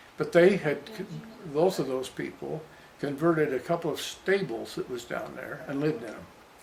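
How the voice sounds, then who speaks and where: Amid noticeable background noise, a man with an American accent speaks at a moderate pace and fairly high pitch, with ordinary pitch variation and big swings in loudness. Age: 90s. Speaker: grandfather interviewee. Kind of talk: family interview reminiscing. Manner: halting, with restarts.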